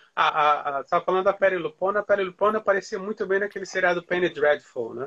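At a fairly quick pace, a man projects a raised, high-pitched voice with a bright, sharp tone and ordinary pitch variation, the sound dry and close with no echo. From Brazil, Santos. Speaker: interviewer. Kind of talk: interview. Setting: live stream.

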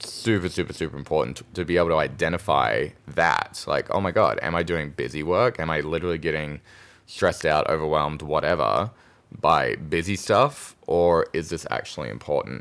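Very deep and low, this man's voice carries vocal fry in an Australian accent. He keeps a moderate pace with ordinary pitch variation. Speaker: podcast co-host, marketing expert. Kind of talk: casual chat.

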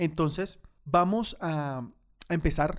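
Ordinary pitch variation marks this man's speech. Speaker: photographer and videographer. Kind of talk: webinar tutorial.

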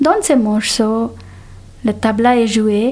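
A woman with a Telugu accent and a fairly high pitch talks at a very slow pace with fairly even intonation over noticeable background noise. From India. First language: Telugu (speaking French). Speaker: musician. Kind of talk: reading aloud; interview.

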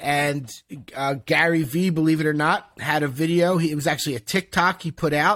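In a plain, everyday voice, the speaker keeps a moderate pace on a very clean recording with a silent background. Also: man. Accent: American. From Philadelphia. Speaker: podcast co-host and former ticket broker. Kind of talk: casual interview.

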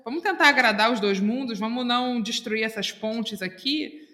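Noticeable background noise behind a woman speaking high in pitch at a moderate pace, her pitch varying in an ordinary way. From Brazil, Itacuruçá (Rio de Janeiro state). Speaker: podcast co-host. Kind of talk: casual chat.

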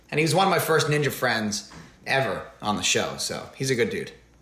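The speaker has an American accent and a moderate pace, with audible room echo and noticeable background noise. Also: man. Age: 30s. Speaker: athlete and former TV meteorologist. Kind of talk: interview.

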